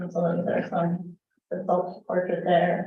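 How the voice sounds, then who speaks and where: Audible room echo surrounds a woman's fairly low voice. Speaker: youth program director. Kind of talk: department report at council meeting. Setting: city council meeting.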